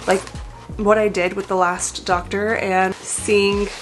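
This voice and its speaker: With music playing behind her, a woman talks at a medium pitch. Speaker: lifestyle vlogger. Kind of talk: casual vlog talk to camera. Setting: home office. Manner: casual, filler-heavy.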